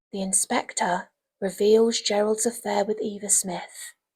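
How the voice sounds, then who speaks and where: A soft-spoken, somewhat breathy woman at medium pitch, fairly slow and monotone with flat intonation, in a dry, close sound with no echo. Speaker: English literature teacher. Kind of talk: ASMR revision lecture.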